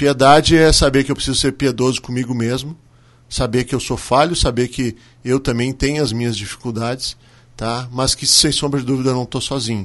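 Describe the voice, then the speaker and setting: A normal speaking voice at a fairly quick pace, fairly even intonation, against a quiet background. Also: man, medium pitch for a man. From southern Brazil, Serra Gaúcha. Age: 40s. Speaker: restaurant owner. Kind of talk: radio interview.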